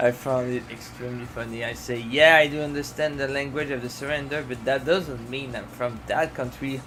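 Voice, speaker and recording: A man with a Quebec accent talks at a fairly quick pace with hardly any pauses, medium pitch and fairly even intonation, amid audible room echo and noticeable background noise. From Quebec, Canada. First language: French. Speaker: art streamer. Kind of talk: casual live stream chat while drawing. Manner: halting, many fillers.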